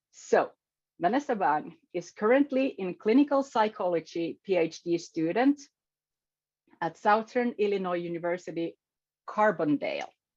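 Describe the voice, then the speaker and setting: A woman with a non-native accent and medium pitch speaks at a moderate pace, her pitch swinging very widely, with long, frequent pauses. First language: not English. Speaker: meeting facilitator and event host. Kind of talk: online event introduction. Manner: halting.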